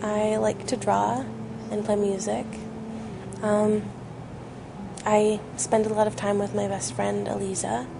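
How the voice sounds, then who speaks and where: A woman speaks in a room with audible echo and noticeable background noise. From western Canada (Maple Ridge, British Columbia). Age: 20s. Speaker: musician. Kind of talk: interview. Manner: hesitant, many fillers.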